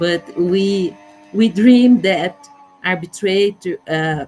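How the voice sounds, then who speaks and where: This woman's voice sits at a medium pitch. Her pitch variation is ordinary. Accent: Portuguese. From Brazil. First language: Portuguese. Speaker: judge. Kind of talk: conference presentation. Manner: halting.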